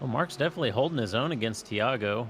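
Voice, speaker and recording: Speaking with a Kansas accent, a man shows ordinary pitch variation. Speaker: sim racing commentator. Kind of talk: live commentary. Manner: casual, hesitant.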